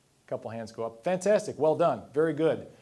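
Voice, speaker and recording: This man talks at a fairly quick pace with an American accent. His tone is dark and mellow, and his intonation is lively. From US Midwest, Missouri. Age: 50s. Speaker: financial planner. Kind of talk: presentation to live audience. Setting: dinner event with audience. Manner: casual, fast-paced.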